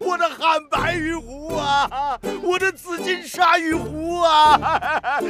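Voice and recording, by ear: A man's put-on character voice, extremely high in pitch, bright and sharp in tone, at a slow pace with ordinary pitch variation, over faint music in the background.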